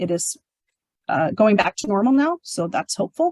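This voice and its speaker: A woman speaks at a medium pitch with an American accent and lively intonation, recorded with a dry, close sound and no echo. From US Pacific Northwest (southwest Washington). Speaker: corrections director. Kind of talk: public talk with Q&A. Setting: museum talk with live and online audience. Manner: fast.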